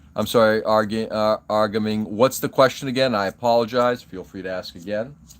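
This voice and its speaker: A man's fairly low voice with fairly even intonation and big swings in loudness, in a very clean recording with a silent background. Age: 50s. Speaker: hobby live streamer. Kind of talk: casual live stream chat. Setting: live stream. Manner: halting.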